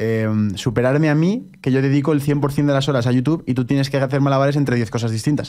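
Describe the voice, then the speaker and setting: Against a quiet background, a man talks at a very fast pace in a fairly high, dark and mellow voice, his intonation fairly even and his loudness very even. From Spain. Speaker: podcast host. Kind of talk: casual chat. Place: studio. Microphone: studio mic.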